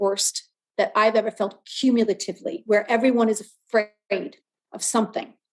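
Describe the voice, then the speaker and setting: A woman has an ordinary speaking voice, pitched fairly high, with fairly even intonation. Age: 60s. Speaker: wellness guest speaker. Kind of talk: podcast interview.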